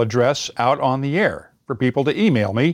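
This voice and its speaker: A man with a Midwestern US accent is heard in a dry, close sound with no echo. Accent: General American, Midwestern. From US Midwest, Indiana. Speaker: podcast host and former radio reporter. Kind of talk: interview. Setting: online call.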